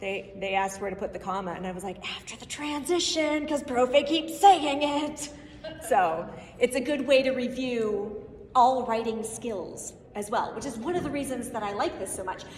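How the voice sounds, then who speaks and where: A woman speaks in a high pitch with an animated tone, lively intonation and big swings in loudness, amid noticeable background noise and audible room echo. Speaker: Spanish teacher and conference presenter. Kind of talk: conference presentation. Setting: stage with audience. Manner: fast.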